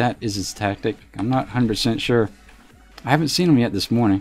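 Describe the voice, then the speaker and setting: A man speaks at a medium pitch with a slight Southern accent. Music plays in the background. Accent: slight southern drawl. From US South. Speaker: game streamer. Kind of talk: casual live stream commentary. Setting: live stream. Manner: relaxed, frequent fillers.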